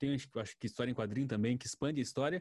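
In a very clean recording with a silent background, a man talks at a medium pitch with a dark, mellow tone. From rural Brazil. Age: 20s. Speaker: journalist. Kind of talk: casual chat.

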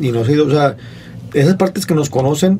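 Fairly high-pitched male voice with lively intonation and noticeable background noise. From Monterrey, northern Mexico. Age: 40s. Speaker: comedian. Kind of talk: casual chat.

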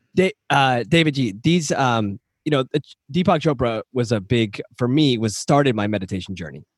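Heard with a dry, close sound and no echo, a normal speaking voice moves at a moderate pace with lively intonation. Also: man, medium pitch for a man. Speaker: podcast co-host. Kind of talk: casual interview chat.

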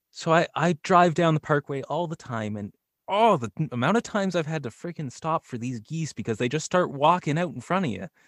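This man has a normal speaking voice, pitched fairly high, with lively intonation. He talks fairly quickly, and the sound is dry and close with no echo. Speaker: voice actor and YouTuber. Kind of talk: casual chat. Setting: video call.

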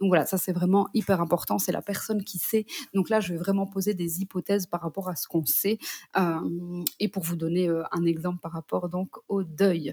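A woman speaks at a fairly low pitch with a dark, mellow tone, somewhat breathy, at a moderate pace. Her intonation is fairly even, and the sound is dry and close with no echo. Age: 30s. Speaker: psychogenealogist. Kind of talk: interview. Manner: hesitant, many fillers.

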